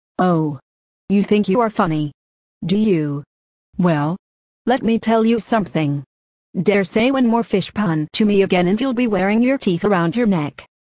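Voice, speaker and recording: A female-sounding voice at medium pitch does a put-on character voice at a moderate pace, broken by long, frequent pauses. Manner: angry, threatening.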